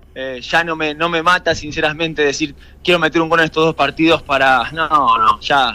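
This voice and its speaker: At a moderate pace, a man with a fairly high pitch speaks in a bright, sharp tone and a monotone, flat intonation. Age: 30s. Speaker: professional footballer. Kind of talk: radio interview.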